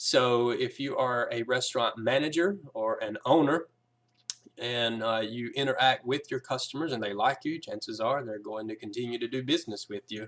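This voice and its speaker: Speaking with a Southern US accent, a man talks at a moderate pace with medium pitch and ordinary pitch variation. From US South. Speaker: app developer giving a business presentation. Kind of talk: sales pitch presentation. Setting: recorded video, reading from a screen. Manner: casual, with frequent filler words.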